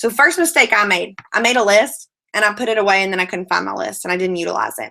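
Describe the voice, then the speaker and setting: Lively intonation and vocal fry mark a woman's bright, sharp tone as she speaks at a fairly quick pace. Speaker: network marketing team leader. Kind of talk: online training session. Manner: fast.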